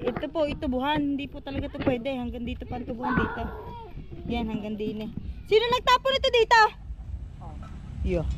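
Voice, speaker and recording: The speech comes at a fairly quick pace, broken by long, frequent pauses, with noticeable background noise. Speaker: vlogger. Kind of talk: casual vlog chat.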